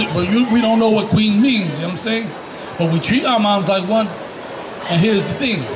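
Noticeable background noise runs under a man's high-pitched voice. He talks at a fairly quick pace, with long, frequent pauses. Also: ordinary pitch variation. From US Northeast, the Bronx, New York (Puerto Rican). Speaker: religious street teacher. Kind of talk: street sermon with scripture teaching. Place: street.

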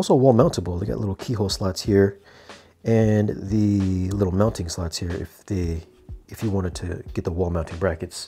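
With light background noise, a man talks at a moderate pace in a fairly low pitch with ordinary pitch variation. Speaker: product reviewer. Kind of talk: product review commentary. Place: home room. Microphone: lapel.

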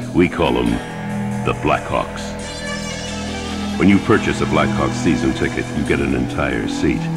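A man goes at a moderate speed while clear music plays behind him. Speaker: voice actor. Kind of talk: sports promo read. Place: studio.

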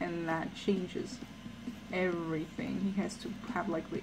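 Against noticeable background noise, a woman speaks at a fairly slow pace. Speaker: artist streamer. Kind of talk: casual chat while drawing. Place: home room. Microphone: headset.

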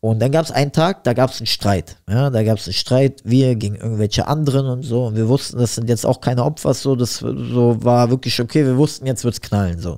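A man's dark, mellow, medium-pitched voice moves at a fairly quick pace with hardly any pauses and ordinary pitch variation. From Berlin-Neukölln. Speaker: rapper and boxing coach. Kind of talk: casual interview chat.

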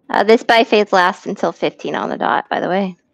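At a moderate pace, a woman speaks with fairly even intonation in a dry sound with no echo. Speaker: gaming streamer leading a raid group. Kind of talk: casual voice chat while gaming. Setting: online voice chat. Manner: relaxed, joking.

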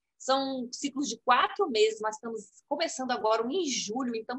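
Against a quiet background, a woman with a high pitch speaks at a moderate pace with lively intonation. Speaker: program coordinator. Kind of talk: interview. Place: home room. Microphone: video call.

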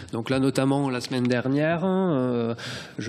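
A man's ordinary speaking voice at medium pitch with ordinary pitch variation. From Corbières, southern France. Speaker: photojournalist. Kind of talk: round table presentation. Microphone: podium.

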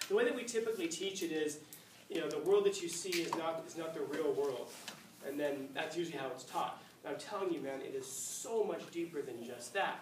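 A man speaks at a fairly quick pace. Noticeable background noise and audible room echo surround his voice. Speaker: teacher. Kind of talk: lecture. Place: classroom.

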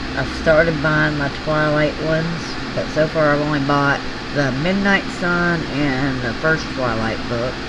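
Loud background noise surrounds a woman speaking with a Southern US accent. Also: fairly slow pace. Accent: Southern US drawl. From US South. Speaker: craft hobby YouTuber. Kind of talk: casual chat. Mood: tender when remembering son. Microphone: phone near.

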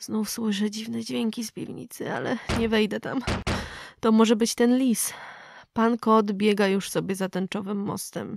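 A woman's fairly high voice, a plain, everyday voice, with fairly even intonation at a moderate pace. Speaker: vlogger reading horror story. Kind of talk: creepy vlog-style scripted horror story, ghost story telling.

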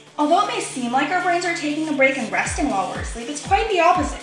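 A raised, projected voice carries over clear background music, with audible room echo. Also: woman. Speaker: narrator. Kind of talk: educational explainer voice-over. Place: bathroom.

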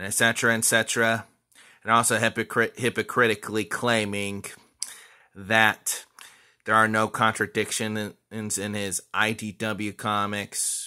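Very slow speech against a quiet background. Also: man. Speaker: vlogger. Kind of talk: casual talk to camera. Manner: stuttering. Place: home room. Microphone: phone near.

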